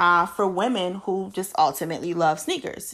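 A woman talks at a moderate pace with an American accent and a medium pitch. The recording is very clean, with a silent background. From Baltimore, Maryland. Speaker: podcast host. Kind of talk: monologue introduction. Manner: casual, with laughs.

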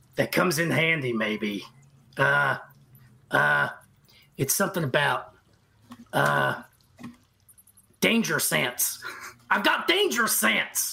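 A put-on character voice, raspy and at a low-to-middle pitch, moves at a fairly slow pace with long, frequent pauses. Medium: actual play. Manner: hesitant, stammering.

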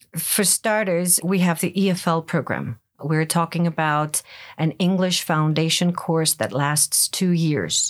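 With a Greek accent, a woman speaks at a fairly slow pace and fairly low pitch, with ordinary pitch variation on a very clean recording with a silent background. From Greece, Ioannina (northwest). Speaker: English as a second language teacher. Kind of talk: interview.

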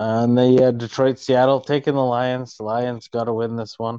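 In a dry, close recording with no echo and a quiet background, a man at medium pitch speaks with monotone, flat intonation. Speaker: football podcast co-host. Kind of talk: casual sports banter. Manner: jokey, casual.

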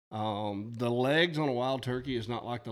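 On a very clean recording with a silent background, a man with an Alabama accent speaks at medium pitch with fairly even intonation. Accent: Southern US (Alabama). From US South, north Alabama. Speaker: high school teacher and coach, turkey hunter. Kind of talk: casual chat.

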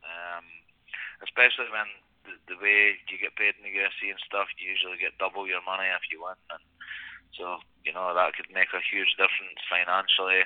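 Loudness swings widely as this man talks. He has a Scottish accent. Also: moderate pace. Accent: Scottish brogue. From Scotland. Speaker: mixed martial arts fighter. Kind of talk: interview.

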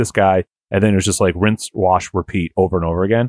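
A man with an American accent speaks at a fairly quick pace in a normal speaking voice. The recording is very clean, with a silent background and a dry, close sound with no echo. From Boston. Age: 30s. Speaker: podcast co-host. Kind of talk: casual chat.

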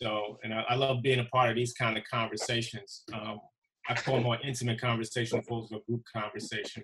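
A man in an American accent at a very fast pace, monotone and flat in intonation. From Brooklyn, New York. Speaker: basketball referee. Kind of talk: casual chat.

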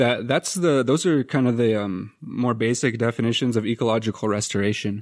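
In a very clean recording with a silent background and a dry, close sound with no echo, a man with a plain, everyday voice talks at a fairly quick pace with fairly even intonation. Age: 30s. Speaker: podcast co-host, graduate student. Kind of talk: casual conversational podcast.

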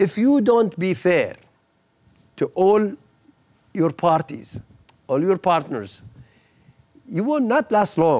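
A man speaks at a very slow pace, with long, frequent pauses. His pitch is high, and it swings very widely. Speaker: former government minister. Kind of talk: interview. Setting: studio. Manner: halting, frequent repetitions.

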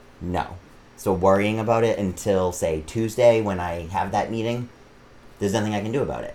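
With an American accent, a man speaks fairly quickly at a fairly low pitch with ordinary pitch variation, and audible room echo surrounds him. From Massachusetts, Auburn. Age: 30s. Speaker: drag performer. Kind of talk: casual interview.

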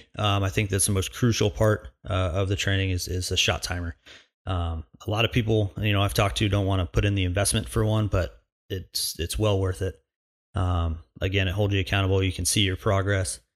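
Speaking at a fairly quick pace, a man with a fairly low pitch and a somewhat breathy voice keeps his intonation fairly even, in a very clean recording with a silent background. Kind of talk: solo podcast intro and monologue. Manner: casual, joking, filler words.

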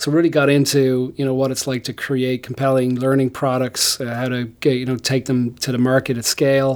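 A man with an Irish accent at a medium pitch, fairly quick and flat, with hardly any pauses. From Ireland. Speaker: tech company founder and CEO. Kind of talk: interview.

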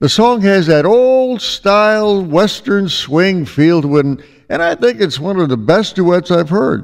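This is a man with a high-pitched voice. He talks at a fairly slow pace. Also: lively intonation. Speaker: radio host. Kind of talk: radio show hosting with music.

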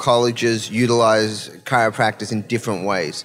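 A man speaks at a fairly slow pace. Music plays in the background. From Melbourne, Australia. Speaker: sports performance expert, former college tennis player. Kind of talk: podcast interview.

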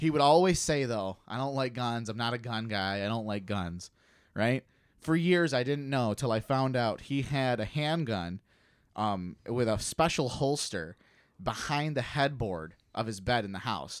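Here is a man with a normal speaking voice, medium pitch and lively intonation. He goes at a fairly slow pace in a very clean recording with a silent background. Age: 30s. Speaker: podcast co-host. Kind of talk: casual chat.

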